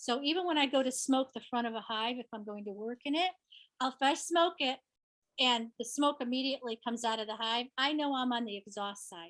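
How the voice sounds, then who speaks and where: Recorded dry and close with no echo, a woman speaks at a high pitch and moderate pace with ordinary pitch variation. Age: 60s. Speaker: beekeeper. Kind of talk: presentation Q&A. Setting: conference session.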